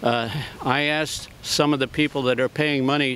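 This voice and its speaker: A man with an American accent talks at a moderate pace and medium pitch. Noticeable background noise runs underneath. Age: 80s+. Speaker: war veteran. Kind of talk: public comment at press conference. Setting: press conference.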